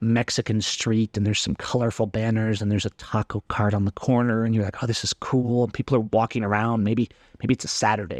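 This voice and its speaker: An unremarkable speaking voice from a man at medium pitch, fairly quick and fairly even in intonation, dry and close with no echo over a quiet background. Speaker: photography podcast host. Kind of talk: casual solo podcast talk.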